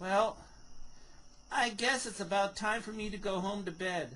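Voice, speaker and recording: At a middle pitch, the speaker performs a put-on character voice. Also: moderate pace. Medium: read story.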